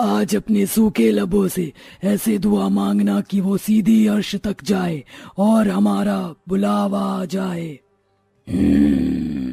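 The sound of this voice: A man does a cartoonish character voice at a fairly high pitch, with very wide pitch swings. He drags it out at a very slow pace.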